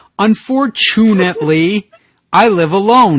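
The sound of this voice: An unforced reading voice with lively intonation, over a quiet background.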